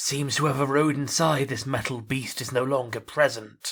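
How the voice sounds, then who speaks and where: In a put-on character voice, a man speaks with fairly even intonation. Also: medium pitch for a man, moderate pace. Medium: machinima. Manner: formal, measured.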